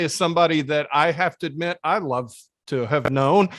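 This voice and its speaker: With an unremarkable speaking voice, a man talks at a fairly high pitch and a moderate pace with ordinary pitch variation. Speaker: podcast host, editorial cartoonist. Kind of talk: interview host talk.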